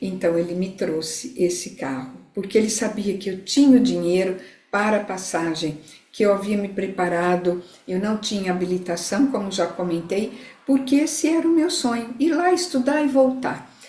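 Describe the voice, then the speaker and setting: A woman with a medium pitch talks at a moderate pace, her pitch swinging very widely. Audible room echo and noticeable background noise surround her. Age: 60s. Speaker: integrative therapist. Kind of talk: live talk to online audience.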